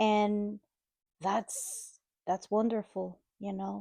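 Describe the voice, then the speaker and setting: A woman speaks at a very slow pace in a Dominican accent. The sound is dry and close, with no echo. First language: Spanish. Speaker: mother of the host. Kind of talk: casual chat. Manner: warm, halting.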